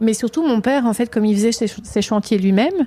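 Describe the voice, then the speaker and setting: With a strong Provençal accent, a woman speaks at a medium pitch in a dark, mellow tone. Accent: southern French (Provence), strong. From Provence, southern France. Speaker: candle maker, small business owner. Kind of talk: interview. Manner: halting, many hesitations.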